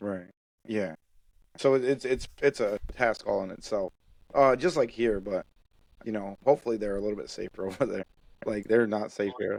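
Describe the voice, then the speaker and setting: In a dry, close sound with no echo, a man speaks at a moderate pace with ordinary pitch variation and long, frequent pauses. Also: fairly low pitch for a man. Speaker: podcast host. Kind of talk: podcast conversation.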